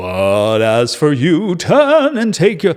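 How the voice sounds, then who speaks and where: A man uses a booming put-on character voice with a fairly high pitch. He speaks at a very slow pace with very wide pitch swings. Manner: commanding.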